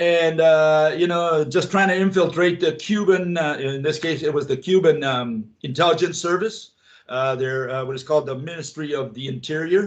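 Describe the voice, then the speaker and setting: A man talks at a moderate pace with hardly any pauses, his pitch fairly high with ordinary variation. He has a plain, everyday voice. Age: 60s. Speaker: physics theorist, former spy. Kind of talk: interview.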